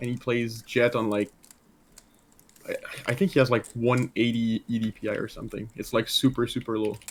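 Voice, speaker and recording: Speaking with a French Canadian accent, a man at medium pitch keeps fairly even intonation at a moderate pace, with long, frequent pauses. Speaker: gamer being coached. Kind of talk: casual chat. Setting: voice chat.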